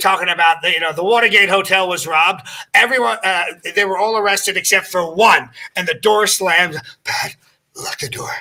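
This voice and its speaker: A man's raised, projected voice, high-pitched, with ordinary pitch variation and a fairly quick pace. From US, Pennsylvania (Ambler, Philadelphia area). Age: 60s. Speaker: impressionist. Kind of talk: casual interview chat.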